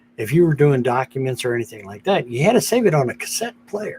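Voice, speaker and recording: Noticeable background noise accompanies a man whose pitch variation is ordinary. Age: 60s. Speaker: live streamer. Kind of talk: casual chat. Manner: halting.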